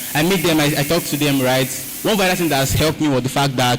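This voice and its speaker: This man rattles along very quickly, pitched rather high with normal pitch movement, while clearly audible noise fills the background. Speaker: content creator. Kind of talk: panel discussion. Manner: fast.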